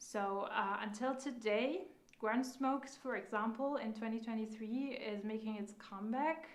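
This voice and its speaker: Audible room echo surrounds a woman with a non-native accent. Her pitch is fairly high with ordinary variation, and her pace is moderate. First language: not English. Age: 30s. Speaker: makeup instructor. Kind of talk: live online class. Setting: live stream. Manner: halting, frequent fillers.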